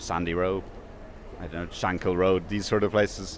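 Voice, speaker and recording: A man with a very deep, low voice talks at a moderate speed. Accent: southern Irish. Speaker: interviewee. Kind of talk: interview. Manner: hesitant, many fillers.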